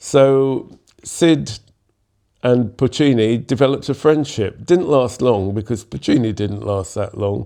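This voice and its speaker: A man's dark, mellow, medium-pitched voice in a London accent, at a fairly slow pace with ordinary pitch variation, over a quiet background. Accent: southern English (London). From London, England. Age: 70s. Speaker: jazz musician and composer. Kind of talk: interview storytelling.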